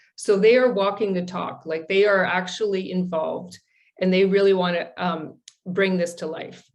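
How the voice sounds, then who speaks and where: A woman talks in a normal speaking voice at medium pitch. Her intonation is fairly even and her pace moderate. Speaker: presenter on a coaching and change management task force. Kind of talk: webinar presentation.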